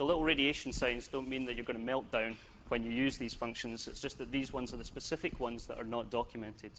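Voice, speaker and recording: A man with a slight Scottish accent speaks at a medium pitch. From Scotland. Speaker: software developer, conference speaker. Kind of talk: technical conference talk. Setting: stage with audience. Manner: casual, joking.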